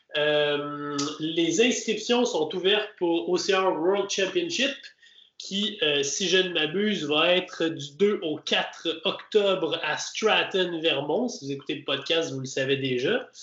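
Here a man speaks at a very slow pace with a high pitch. His pitch varies in an ordinary way. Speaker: obstacle racing podcast host. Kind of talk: casual chat.

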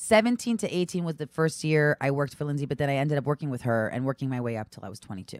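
A woman with a New York accent races along at a very fast pace with hardly any pauses, her very deep, low voice swinging very widely in pitch, in a dry, close sound with no echo. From New York (Brooklyn, Long Island). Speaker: stand-up comedian and reality TV personality. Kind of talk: casual chat.

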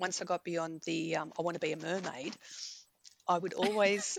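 Speaking at a moderate pace, a woman with an Australian accent has a fairly low pitch. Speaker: romance novelist. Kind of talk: casual interview. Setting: remote call.

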